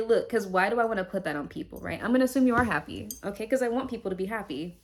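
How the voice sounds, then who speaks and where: Here a woman speaks with ordinary pitch variation. Her recording is very clean against a silent background. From Puerto Rican heritage. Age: 20s. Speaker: tarot reader. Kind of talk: tarot reading monologue. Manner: casual, conversational.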